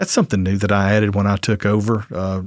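Here a man with a fairly low voice speaks with a Southern US accent. The sound is dry and close with no echo, in a very clean recording with a silent background. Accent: Southern American. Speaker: lawyer running a court diversion program. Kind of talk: casual interview.

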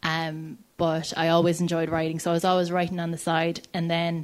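Speaking in an Irish accent at a moderate pace, a woman uses a fairly low pitch and flat, monotone intonation in a very clean recording with a silent background. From Ireland, County Clare. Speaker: writer and director. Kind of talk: panel discussion.

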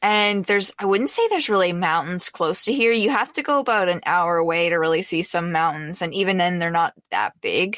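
In a very clean recording with a silent background, a woman with a Canadian accent uses a plain, everyday voice at medium pitch, talking fairly quickly with hardly any pauses, very even loudness and ordinary pitch variation. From Canada. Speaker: streamer. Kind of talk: casual interview chat.

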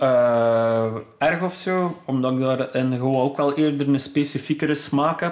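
A man talks with an ordinary speaking voice at a fairly slow pace. His pitch is fairly high and his intonation fairly even. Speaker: electronic music producer and DJ. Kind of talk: casual interview. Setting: home studio.

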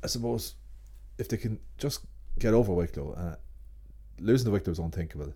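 With an Ulster accent, a man with vocal fry speaks at a fairly quick pace in a very deep, low, dark and mellow voice, using very wide pitch swings and long, frequent pauses. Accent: Ulster Irish (Cavan). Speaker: sports journalist. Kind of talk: casual chat.

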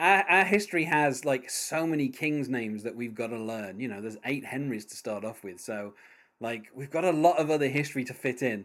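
In a British accent, a man speaks at a medium pitch and a fairly quick pace. His intonation is lively, with big swings in loudness. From Britain. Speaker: podcast host. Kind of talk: casual interview chat. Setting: remote call.

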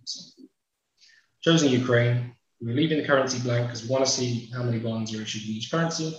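Somewhat breathy, a man with a medium pitch races along at a very fast pace with fairly even intonation. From UK. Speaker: webinar host, data company partnership manager. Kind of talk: software demo and moderation. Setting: video call webinar. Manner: quick, rushed demo.

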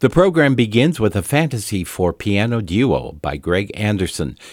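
A man has a normal speaking voice at a fairly low pitch, on a very clean recording with a silent background. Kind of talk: classical radio announcing. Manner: formal, polished, measured; clear, even, unhurried.

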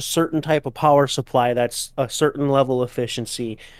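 A man speaks at a moderate pace with fairly high pitch and fairly even intonation. It's a plain, everyday voice on a very clean recording with a silent background. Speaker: podcast co-host. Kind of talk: casual chat.

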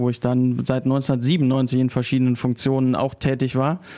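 A man talks in a normal speaking voice at a moderate pace. His pitch is fairly high, and the recording is very clean with a silent background. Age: 40s. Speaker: club press officer. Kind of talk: casual interview. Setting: studio.

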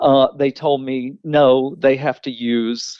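In an Alabama accent, a man speaks at a very slow pace and medium pitch with fairly even intonation. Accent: US Southern (Alabama). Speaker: teacher and author. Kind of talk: interview.

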